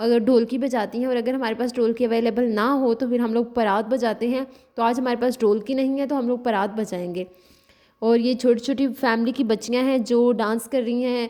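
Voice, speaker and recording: The tone is dark and mellow. Delivery is at a moderate pace with monotone, flat intonation. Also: woman, high pitch for a woman. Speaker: vlogger. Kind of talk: vlog narration. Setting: village wedding.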